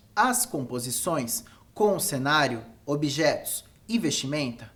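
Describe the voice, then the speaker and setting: Very wide pitch swings mark a man's fairly high voice as he speaks at a very slow pace amid audible room echo. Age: 20s. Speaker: photographer and educator. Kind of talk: lecture. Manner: formal.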